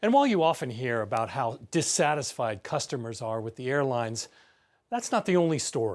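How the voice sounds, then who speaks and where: Speaking at a fairly quick pace in a medium pitch, a man uses a plain, everyday voice with lively intonation. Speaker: television news correspondent and anchor. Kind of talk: broadcast news narration. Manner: measured, professional.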